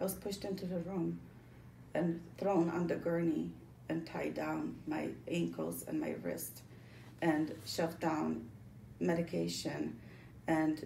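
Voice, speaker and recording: With a Polish accent, this voice moves at a very slow pace with long, frequent pauses, and the room echo is audible. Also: woman. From Poland, moved to Connecticut as a child. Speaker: former psychiatric patient telling her story. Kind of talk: testimony. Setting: office meeting. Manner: halting, many fillers.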